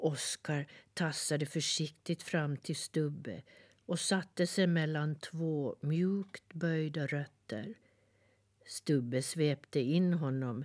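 A woman's very deep, low voice with a gentle, warm tone, ordinary pitch variation and a very slow pace, on a very clean recording with a silent background. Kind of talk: children's fairy-tale reading aloud, scripted narration. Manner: gentle, warm, soothing storyteller pace; softly animated, shifting to a tender tone for the stump's lines.

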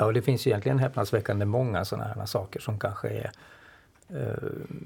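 A man talks at a fairly low pitch, somewhat breathy, with a dark, mellow tone. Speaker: artist and cartoonist. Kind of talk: casual discussion.

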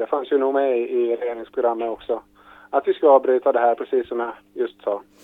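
Words come very fast, delivered in a monotone, flat intonation. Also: man, medium pitch for a man. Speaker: government minister. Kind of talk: news interview.

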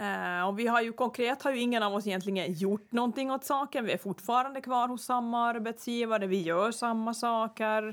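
A woman's fairly high-pitched, normal speaking voice at a moderate pace, with ordinary pitch variation and hardly any pauses. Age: 40s. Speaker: podcast host. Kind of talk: casual chat.

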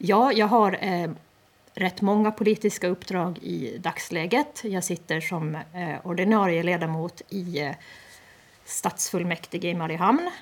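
The delivery comes at a fairly slow pace. It is a plain, everyday voice. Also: woman, medium pitch for a woman, ordinary pitch variation. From Åland, Eckerö. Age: 30s. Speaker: parliamentary candidate. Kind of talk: radio interview.

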